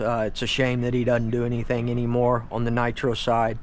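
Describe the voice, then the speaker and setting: Speech at a moderate pace comes through with audible room echo. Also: man. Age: 50s. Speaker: RC hobbyist YouTuber. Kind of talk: casual product walkthrough. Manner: casual, filler-heavy.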